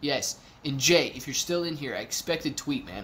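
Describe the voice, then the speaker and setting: Animated in tone and with ordinary pitch variation, this American-accented voice comes through over light background noise. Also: man. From Ohio. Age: 30s. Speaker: YouTube stock streamer. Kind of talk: live stream chat reading. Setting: live stream from a temporary office. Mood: relaxed, friendly. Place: home room.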